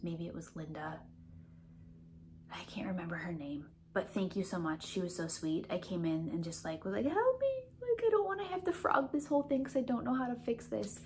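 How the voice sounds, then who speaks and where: A woman with a Midwestern accent speaks at a fairly quick pace in a fairly low voice, with very wide pitch swings. Noticeable background noise is present. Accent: Midwest. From US Midwest, Milwaukee. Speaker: knitting vlogger. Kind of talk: casual vlog chat.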